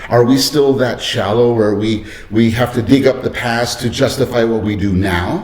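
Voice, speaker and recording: Man with an American accent, medium pitch, fairly even intonation and a moderate pace, amid noticeable background noise and audible room echo. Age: 60s. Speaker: vlogger, school principal. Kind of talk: personal vlog monologue. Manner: halting.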